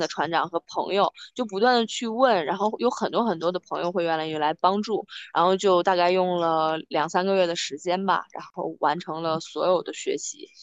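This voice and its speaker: A woman with a normal speaking voice talks at medium pitch and a moderate pace, with ordinary pitch variation, in a dry, close sound with no echo. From Hebei, China (family from Beijing). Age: 30s. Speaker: amateur sailor, former internet company employee. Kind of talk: interview. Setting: video call, outdoors on a harbour dock.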